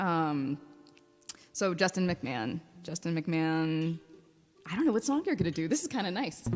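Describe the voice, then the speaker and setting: With music in the background, a woman with an American accent speaks in a fairly low voice at a moderate pace, leaving long, frequent pauses. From Baltimore, Maryland. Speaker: livestream music show host. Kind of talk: casual chat. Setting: video call.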